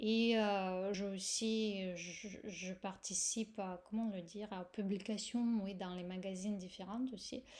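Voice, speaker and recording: A woman speaks very slowly with a Russian accent. Her pitch is medium and her intonation fairly even. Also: hardly any pauses. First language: Russian (speaking French). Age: 40s. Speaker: yoga teacher. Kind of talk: course presentation. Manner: hesitant, many fillers.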